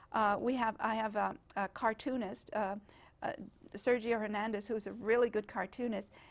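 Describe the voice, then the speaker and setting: On a very clean recording with a silent background, a woman with a Spanish accent speaks at a moderate pace in a fairly high, monotone, flat voice. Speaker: genealogist and heritage project organizer. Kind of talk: interview. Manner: halting.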